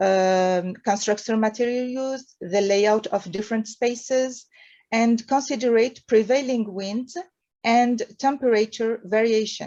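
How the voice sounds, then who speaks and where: A woman with a French accent, fairly high in pitch, fairly slow in pace, with fairly even intonation. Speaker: architect and urban planning researcher. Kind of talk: conference presentation. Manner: halting.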